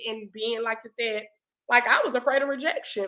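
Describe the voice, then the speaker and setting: A woman with a high pitch and a bright, sharp tone speaks in a raised, projected voice with an animated tone. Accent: Southern US. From US South. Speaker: talk show host and motivational speaker. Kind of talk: casual chat.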